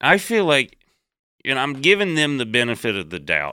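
Dry and close with no echo, this recording has a man with a Southern US accent speaking in a bright, sharp tone with lively intonation. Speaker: comedian. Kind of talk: casual chat.

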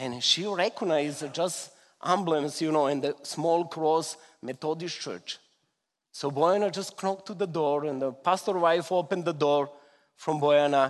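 A man with a fairly high pitch speaks with a strong Serbian accent. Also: ordinary pitch variation, moderate pace. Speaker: visiting Gideons member giving a testimony. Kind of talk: testimony. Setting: church. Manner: emotional, halting with simple grammar.

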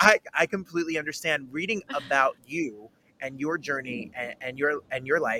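A man's fairly high voice has a bright, sharp tone and ordinary pitch variation at a moderate pace. The sound is dry and close with no echo. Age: 30s. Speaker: podcast host. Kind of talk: interview.

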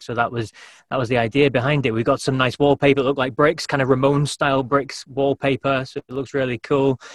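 A man's medium-pitched voice in a British accent, fairly quick with fairly even intonation, dry and close with no echo over a quiet background. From UK. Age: 40s. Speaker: podcaster and former radio presenter. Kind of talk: casual interview chat.

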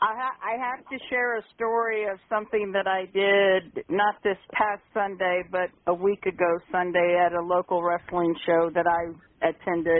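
Fairly slow speech from a woman with an American accent, at medium pitch with ordinary variation, in an ordinary speaking voice. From Kansas. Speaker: caller. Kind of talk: call-in chat.

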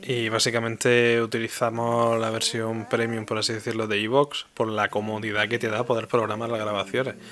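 This man talks in a flat monotone with hardly any pauses, over noticeable background noise. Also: medium pitch for a man, moderate pace. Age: 20s. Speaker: podcaster. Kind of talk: casual interview chat.

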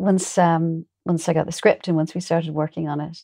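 In an Irish accent, a woman speaks at a moderate pace with a dark, mellow tone, the sound dry and close with no echo. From Ireland. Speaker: actor. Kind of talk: casual interview.

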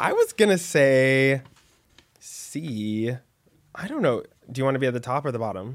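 At a moderate pace, a man speaks with long, frequent pauses. His pitch is medium, and its variation is ordinary. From Texas, Dallas. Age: 20s. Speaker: podcast host. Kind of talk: casual chat.

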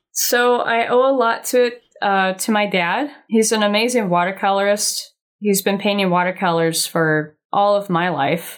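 In a very clean recording with a silent background, a woman with an American accent speaks at a medium pitch and moderate pace, her loudness very even and her pitch varying in an ordinary way. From Laguna Beach, California. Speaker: artist and illustrator. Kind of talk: casual interview.

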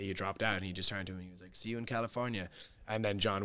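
A man speaks at a very fast pace in a Cork accent, his tone bright and sharp and his intonation flat and monotone. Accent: Cork Irish. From Ireland, Cork. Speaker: singer-songwriter. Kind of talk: casual interview.

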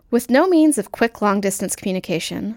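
A woman's unremarkable speaking voice at a medium pitch, with lively intonation and a fairly quick pace, on a very clean recording with a silent background. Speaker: segment presenter. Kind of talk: scripted narration.

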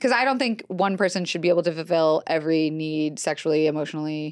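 With a quiet background, a woman with an American accent talks at a very fast pace in a very deep, low pitch, using ordinary pitch variation. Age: 30s. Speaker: comedian and author. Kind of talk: casual chat. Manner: animated.

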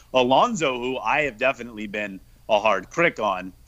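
A man's normal speaking voice, medium in pitch, at a moderate pace with ordinary pitch variation. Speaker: football podcaster and Twitter personality. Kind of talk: casual football discussion. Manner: joking, playful.

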